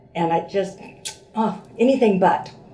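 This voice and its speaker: A woman talks at a medium pitch. Noticeable background noise and audible room echo fill the recording. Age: 70s. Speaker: patient. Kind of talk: testimony. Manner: hesitant, many fillers.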